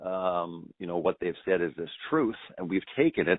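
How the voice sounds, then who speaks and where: A man talks in a very deep, low voice. His pitch shows ordinary variation. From Canada. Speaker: documentary filmmaker. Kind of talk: radio interview.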